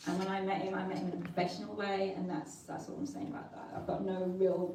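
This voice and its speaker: Audible room echo and noticeable background noise surround a woman's fairly low voice. She talks at a very fast pace with fairly even intonation. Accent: northern English. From northern England. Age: 40s. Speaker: local councillor and former model. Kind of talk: conference speech. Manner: halting.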